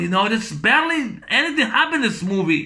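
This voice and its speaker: Against a quiet background, a high-pitched man projects a raised voice with a bright, sharp tone and lively intonation. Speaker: movie reviewer vlogger. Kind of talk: angry rant, movie review. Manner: loud, exasperated, foul-mouthed; repetitive, rambling, blunt insults. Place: home room. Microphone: webcam.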